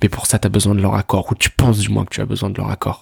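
A man speaks very fast in a flat monotone, fairly low in pitch, with vocal fry. The sound is dry and close with no echo. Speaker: self-improvement podcaster. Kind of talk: casual monologue. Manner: halting, repeats words.

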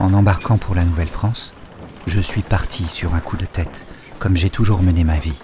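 Speech at a moderate pace with fairly even intonation, over noticeable background noise. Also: man, very deep, low pitch for a man. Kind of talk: literary audiobook reading, first-person historical narration. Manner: subdued, wistful, measured, warming to quiet resolve.

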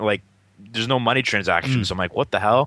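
Talking at a very fast pace, a man with a Boston accent has a bright, sharp tone and ordinary pitch variation. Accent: Boston-area New England. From Massachusetts, near Lowell. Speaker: podcast co-host. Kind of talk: casual chat.

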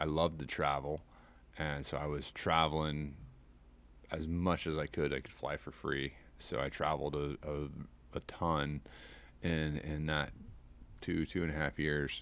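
Speaking in a very deep, low pitch with vocal fry and an American accent, a man keeps a monotone, flat intonation at a fairly slow pace. Long, frequent pauses break up his speech in a very clean recording with a silent background. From US Midwest. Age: 40s. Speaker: fishing guide. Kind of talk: casual interview chat. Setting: outdoors on a porch.

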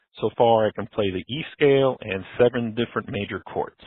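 Fairly quick in pace, a man with a normal speaking voice talks at a medium pitch with ordinary pitch variation. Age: 60s. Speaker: caller, corporate manager near retirement. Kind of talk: recorded voicemail question.

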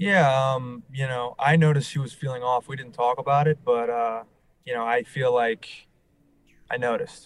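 In a plain, everyday voice with an American accent, a man speaks at a moderate pace and medium pitch with fairly even intonation. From New Orleans, US South. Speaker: reality TV contestant, salesperson. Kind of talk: interview.

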